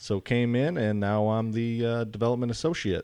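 A man speaks in an ordinary speaking voice, pitched in the middle range, with an American accent. The background is quiet. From Wisconsin. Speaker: land trust development associate. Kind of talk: casual chat. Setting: studio.

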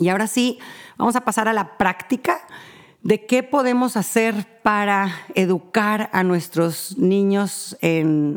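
A very clean recording, silent in the background, with lively intonation. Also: woman. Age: 40s. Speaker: family counselor podcast host. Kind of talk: advice monologue. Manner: halting, many fillers.

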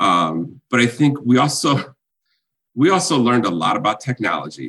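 Using a medium pitch with very wide pitch swings and vocal fry, a man speaks in an American accent. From Illinois, US Midwest. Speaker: chamber of commerce executive. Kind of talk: interview conversation. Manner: halting with fillers and repetitions.

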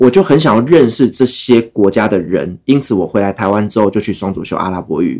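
Delivered at a fairly quick pace, an ordinary speaking voice carries lively intonation. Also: man, fairly low pitch for a man. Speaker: travel podcaster, former expat worker in the Middle East. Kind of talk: casual interview chat.

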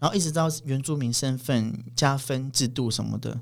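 A man's medium-pitched voice moves at a moderate pace, his intonation fairly even. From Taiwan, Paiwan village in Pingtung. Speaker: interpreter. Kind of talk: casual chat. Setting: studio. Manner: halting, many fillers and repeats.

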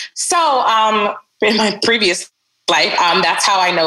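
A woman's fairly slow, lively-toned speech over music in the background. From Barbados, raised in Brooklyn from age seven. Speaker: entrepreneur. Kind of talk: interview. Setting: podcast.

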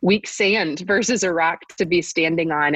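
A normal speaking voice from a woman with an American accent, fairly low in pitch at a moderate pace, in a dry, close sound with no echo. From US South (Bible Belt). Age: 30s. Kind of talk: interview about faith and parenting.

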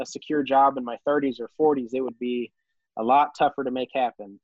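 A man with an American accent, fairly high in pitch, at a moderate pace with fairly even intonation. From Missouri, US. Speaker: popcorn farmer. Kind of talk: casual interview chat. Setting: video call.

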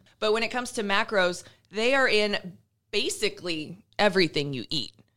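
A woman with an American accent, medium in pitch, bright and sharp in tone, at a moderate pace with ordinary pitch variation, in a very clean recording with a silent background. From Iowa. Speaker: fitness and nutrition podcast co-host. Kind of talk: casual chat.

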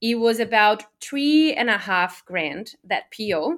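A woman speaks very slowly in a Portuguese accent. Her pitch is fairly high. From Brazil. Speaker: online business owner. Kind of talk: interview.

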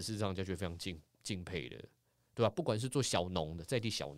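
A speaker with a Taiwanese accent talks at a very fast pace on a very clean recording with a silent background. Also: man. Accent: Taiwanese Mandarin. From Taiwan, Taipei. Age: middle-aged. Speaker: former sports anchor and author. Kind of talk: casual chat. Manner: animated.

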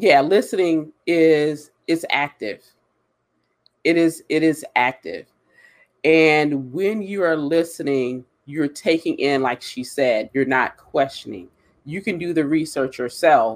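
Someone with an American accent speaks at a very slow pace with ordinary pitch variation. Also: man, fairly high pitch for a man. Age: 40s. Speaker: diversity and hiring consultant. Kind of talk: live webinar discussion. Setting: online live stream.

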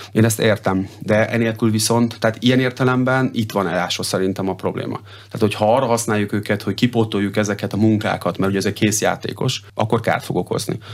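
Monotone and flat, a man talks at a fairly low pitch. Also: hardly any pauses. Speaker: water polo head coach. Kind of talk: radio interview. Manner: halting, many fillers and repetitions.

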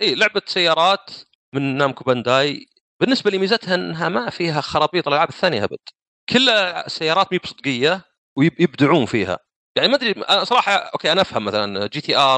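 A man's voice with vocal fry, very wide pitch swings and a moderate pace. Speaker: gaming podcast guest. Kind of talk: casual chat. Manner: talkative.

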